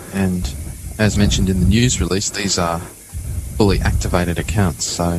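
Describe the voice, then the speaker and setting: Music plays in the background behind a man's voice. His pitch is very deep and low, with ordinary variation. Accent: Australian. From South Africa. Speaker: open-source project coordinator. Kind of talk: casual interview.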